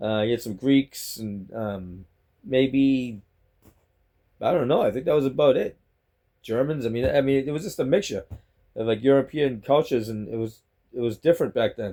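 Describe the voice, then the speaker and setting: A man with a Boston accent and a dark, mellow tone, at a moderate pace with ordinary pitch variation and long, frequent pauses. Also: medium pitch for a man. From Boston, Massachusetts. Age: 60s. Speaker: vlogger. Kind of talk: casual monologue vlog. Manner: rambling, halting with repetitions.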